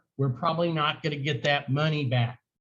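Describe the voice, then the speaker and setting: A man with a Southern US accent talks in a fairly high-pitched voice. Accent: US South. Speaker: high school history teacher. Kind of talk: lecture.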